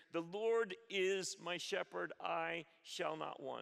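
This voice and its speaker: Against a quiet background, a man with a bright, sharp tone speaks with ordinary pitch variation. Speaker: pastor. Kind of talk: sermon. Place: church. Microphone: headset.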